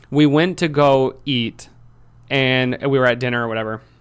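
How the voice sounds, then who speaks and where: Recorded very cleanly against a silent background, a man with an American accent speaks at a moderate pace and medium pitch with fairly even intonation. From Michigan, Lansing. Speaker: entrepreneur. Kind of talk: casual chat.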